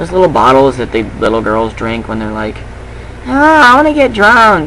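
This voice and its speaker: At a moderate pace, a man speaks in a room with audible echo and noticeable background noise. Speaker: vlogger. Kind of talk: rant. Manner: casual, swearing.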